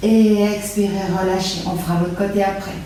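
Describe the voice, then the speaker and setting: A woman with a Belgian accent at a medium pitch, fairly slow, with audible room echo and noticeable background noise. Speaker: yoga teacher. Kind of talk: guided yoga class. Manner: calm instructional pacing.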